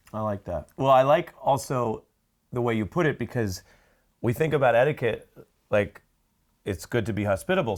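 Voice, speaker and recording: In a very clean recording with a silent background, the voice moves at a moderate pace through very wide pitch swings. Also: man. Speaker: TV news anchor. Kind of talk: interviewer questions.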